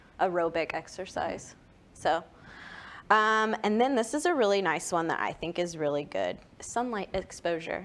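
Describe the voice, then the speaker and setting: With an American accent and a plain, everyday voice, a woman speaks at a medium pitch and moderate pace with lively intonation. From Texas. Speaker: podcast co-host presenting health segment. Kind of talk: casual chat.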